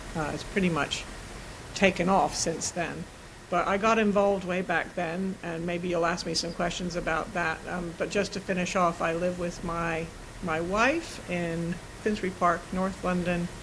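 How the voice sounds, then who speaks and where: Against noticeable background noise and audible room echo, a woman speaks at a moderate pace with a fairly low pitch and monotone, flat intonation. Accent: American. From US, New York and California. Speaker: systemic coach and facilitator. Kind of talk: interview conversation.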